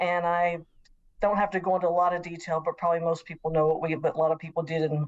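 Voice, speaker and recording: A woman with a Southern US accent speaks at a fairly low pitch. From US South, Nashville, Tennessee. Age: 60s. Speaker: professor. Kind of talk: interview.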